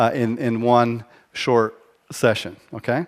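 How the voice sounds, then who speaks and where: On a very clean recording with a silent background, a man speaks with a slight American accent. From mixed German-American, military upbringing. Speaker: leadership speaker. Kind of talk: conference keynote talk. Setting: stage with audience. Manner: hesitant with fillers.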